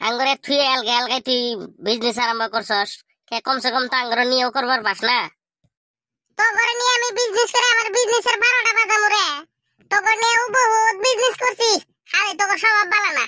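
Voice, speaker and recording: In a cartoonish character voice, the speaker talks at a fairly quick pace with an extremely high pitch and very wide pitch swings. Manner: pushy, insistent.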